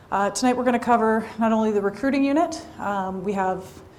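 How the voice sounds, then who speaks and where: Over noticeable background noise, a woman speaks at a fairly quick pace with a fairly high pitch and lively intonation. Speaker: police recruiter. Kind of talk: information session presentation. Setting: room with live audience. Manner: loud.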